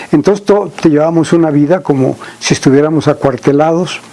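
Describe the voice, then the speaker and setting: Noticeable background noise is present. A man talks in a fairly high-pitched voice. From Mexico, Veracruz (San Andrés Tuxtla). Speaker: agricultural researcher. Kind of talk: interview. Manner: halting.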